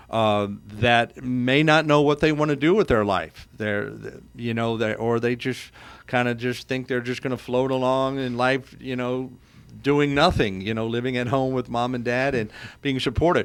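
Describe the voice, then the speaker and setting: A man speaks at a moderate pace and medium pitch with fairly even intonation, in an unremarkable speaking voice. The recording is very clean, with a silent background. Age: 60s. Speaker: insurance agent radio host. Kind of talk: radio talk show interview.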